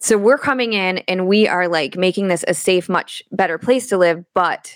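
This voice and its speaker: A plain, everyday voice from a woman at medium pitch, with ordinary pitch variation, in a very clean recording with a silent background and a dry, close sound with no echo. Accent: American. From Michigan. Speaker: photographer and real estate investor. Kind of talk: casual interview.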